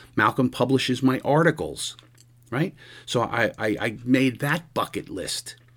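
A man's medium-pitched voice with vocal fry, ordinary pitch variation, and a fairly slow pace. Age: 60s. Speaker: podcast host and police lieutenant. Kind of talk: solo monologue. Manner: casual, halting with repetitions.

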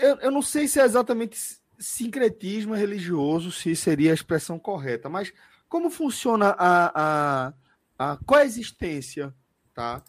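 A man's high-pitched voice, fairly slow in pace, with very wide pitch swings. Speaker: sports podcast host. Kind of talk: casual chat. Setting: live stream, video call.

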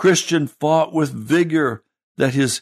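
A man speaks at a fairly slow pace with a fairly high pitch and a dramatic, solemn tone, keeping his intonation fairly even. The sound is dry and close with no echo, and the background is quiet. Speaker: pastor reading storybook aloud. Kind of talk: dramatic narration, reading aloud a classic allegory with a preacher's solemn delivery. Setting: radio broadcast. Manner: warm, pastoral sign-off.

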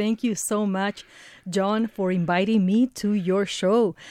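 A woman with a Spanish accent speaks at a medium pitch in a dark, mellow tone, on a very clean recording with a silent background. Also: dry, close sound with no echo. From Ecuador. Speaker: radio reporter and producer. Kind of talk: casual chat. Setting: studio.

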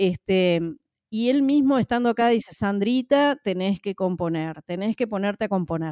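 Speech in a Uruguayan accent has a dark, mellow tone and lively intonation at a moderate pace. The sound is dry and close, with no echo. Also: woman, medium pitch for a woman. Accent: Uruguayan Spanish (Rioplatense). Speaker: social worker and singer. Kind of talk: interview. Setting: remote call.

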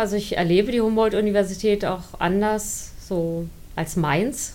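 At a very slow pace, a woman speaks at medium pitch with ordinary pitch variation and audible room echo. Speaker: science communicator, former student newspaper editor. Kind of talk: interview, personal recollection.

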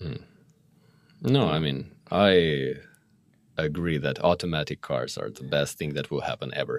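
Speaking at a moderate pace with long, frequent pauses, a man with a Russian accent has a very deep, low pitch, vocal fry and ordinary pitch variation. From Moscow, Russia. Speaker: guest. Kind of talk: casual chat.

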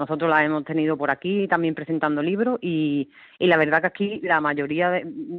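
At a moderate pace and with ordinary pitch variation, a woman talks in a plain, everyday voice. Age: 40s. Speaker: rural public librarian. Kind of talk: radio interview.

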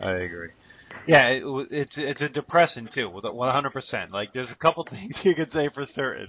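A man talks at a fairly quick pace with a fairly high pitch. His intonation is lively, with vocal fry. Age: 40s. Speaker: podcast co-host. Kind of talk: interview; scripted promo reading.

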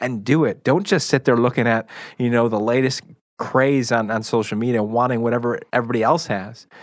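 A man with an ordinary speaking voice talks at a fairly quick pace and a medium pitch. His intonation stays fairly even over a quiet background. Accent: American. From Chicago, US Midwest. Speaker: radio show guest co-host. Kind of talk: casual chat.

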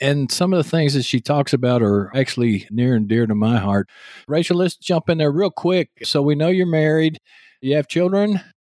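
On a very clean recording with a silent background and a dry, close sound with no echo, a man speaks with a Texas accent. His fairly high pitch carries lively intonation at a moderate pace and very even loudness. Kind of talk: casual interview.

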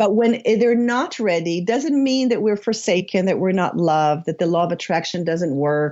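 Speaking at a moderate pace, a woman with a slight Israeli accent uses lively intonation at a fairly low pitch. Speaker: spiritual author and coach. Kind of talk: interview. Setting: remote call.

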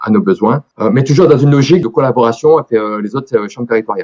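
The man's dark, mellow voice sounds dry and close, with no echo. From France, Dordogne. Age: 40s. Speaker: IT director. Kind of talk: radio interview. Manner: hesitant with many fillers.

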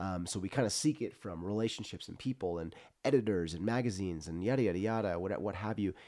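A man talks at a very fast pace with an American accent. His voice is fairly low in pitch, with a dark, mellow tone. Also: ordinary pitch variation. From Central California. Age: 30s. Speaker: adventure photographer. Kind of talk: casual interview chat. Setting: studio.

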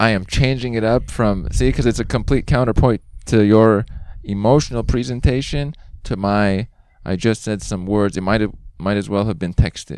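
Recorded very cleanly against a silent background, a man with a fairly low pitch talks at a moderate pace with ordinary pitch variation. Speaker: podcast host. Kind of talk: casual interview chat. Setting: outdoors in a park. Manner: animated, presentational.

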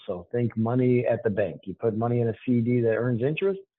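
At a moderate pace, a man with an American accent talks in a medium pitch with ordinary pitch variation, an ordinary speaking voice. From Boston. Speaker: financial planning firm executive. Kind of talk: podcast interview.

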